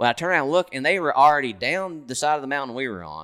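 The voice races at a very fast pace with a Kentucky accent, a bright, sharp tone and lively intonation. The recording is very clean, with a silent background. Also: man. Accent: Kentucky Southern. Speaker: hunter. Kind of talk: casual chat. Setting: hunting lodge in Kentucky.

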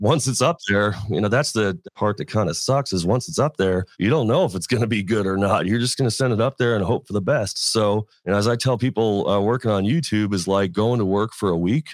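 In an American accent, an unremarkable speaking voice moves at a fairly quick pace with hardly any pauses, ordinary pitch variation and very even loudness, and the sound is dry and close with no echo. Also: man, fairly low pitch for a man. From Las Vegas, US. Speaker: welding and fabrication YouTuber. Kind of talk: casual interview.

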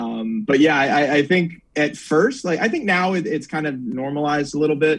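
In an American accent, a man speaks at a moderate pace with hardly any pauses. He has a normal speaking voice, a fairly high pitch and ordinary pitch variation. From Northern Virginia. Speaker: sports reporter. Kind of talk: casual chat.

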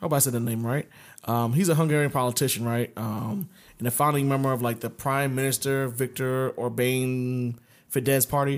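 A man with an ordinary speaking voice at a moderate pace. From US Mid-Atlantic (DC area). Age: 30s. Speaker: podcast co-host. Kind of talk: casual chat.

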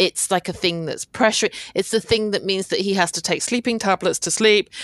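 A woman with a British accent speaks at a medium pitch. The sound is dry and close with no echo, over a quiet background. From Britain, Hong Kong Chinese family. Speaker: podcast co-host and K-drama blogger. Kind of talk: casual chat.

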